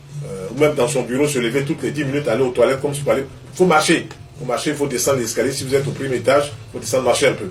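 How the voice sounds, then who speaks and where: A very fast man's voice, fairly high in pitch, with audible room echo and noticeable background noise. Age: 60s. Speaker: traditional health practitioner. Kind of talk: interview answer on health advice.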